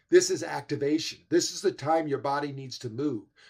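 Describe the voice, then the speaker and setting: On a very clean recording with a silent background, a man with an ordinary speaking voice talks at a fairly high pitch with ordinary pitch variation. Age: 60s. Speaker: health expert speaker. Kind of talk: summit presentation. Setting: livestream.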